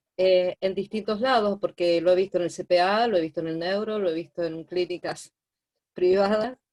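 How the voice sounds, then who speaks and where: A woman with a normal speaking voice talks at a moderate pace and medium pitch, her intonation fairly even. The sound is dry and close, with no echo. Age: 60s. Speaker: therapeutic companion (student participant). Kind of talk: online class discussion.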